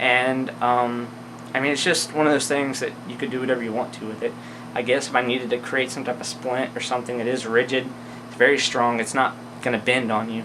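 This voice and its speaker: The speech moves at a fairly quick pace with flat, monotone intonation. Background noise is noticeable. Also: man, medium pitch for a man. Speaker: outdoor gear reviewer. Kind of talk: gear review tutorial. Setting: indoors. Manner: fast; casual with many fillers.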